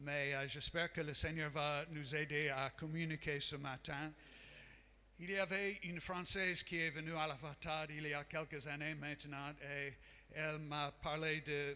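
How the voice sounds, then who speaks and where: With an American accent, a man speaks at a fairly slow pace in a fairly high pitch and a bright, sharp tone. His intonation is monotone and flat. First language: English (speaking French). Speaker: missionary and Bible school professor. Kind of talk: sermon. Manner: halting, many hesitations.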